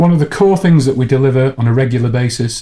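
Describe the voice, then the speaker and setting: The voice is somewhat breathy with a dark, mellow tone. It moves at a fairly quick pace. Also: man. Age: 50s. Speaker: learning technology company CEO. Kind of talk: interview.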